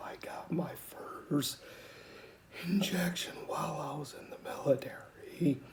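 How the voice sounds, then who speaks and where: With lively intonation and a high pitch, a man speaks at a very slow pace in a room with audible echo. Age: 40s. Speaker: military veteran with a voice disorder. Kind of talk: personal testimony. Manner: halting, with fillers and restarts.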